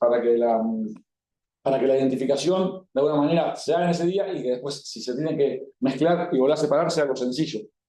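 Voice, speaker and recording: Audible room echo surrounds a man speaking at a very fast pace in a dark, mellow tone with ordinary pitch variation. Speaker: cattle breeding expert speaker. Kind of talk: talk to livestock expo audience. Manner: casual, colloquial.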